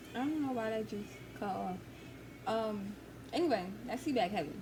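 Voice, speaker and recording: A woman talks with an American accent. There is audible room echo and noticeable background noise. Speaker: Navy recruit vlogger. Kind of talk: casual vlog storytelling. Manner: casual, many fillers.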